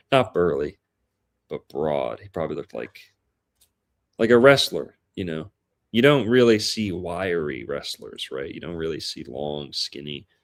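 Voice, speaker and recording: In an Appalachian accent, a man with a very deep, low pitch and vocal fry talks at a moderate pace, his pitch swinging very widely and his loudness swinging a lot, with long, frequent pauses. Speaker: guest discussing astrology and history. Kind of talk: casual chat.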